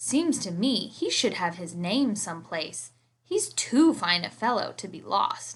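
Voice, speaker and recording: A woman performs a put-on character voice at medium pitch and a fairly slow pace. Her pitch swings very widely, and her loudness swings a lot. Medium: read story.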